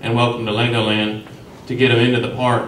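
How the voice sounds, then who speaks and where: A man's medium-pitched voice, with audible room echo and light background noise. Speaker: city commissioner running for reelection; candidate. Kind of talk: candidate forum debate. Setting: stage with audience. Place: meeting room.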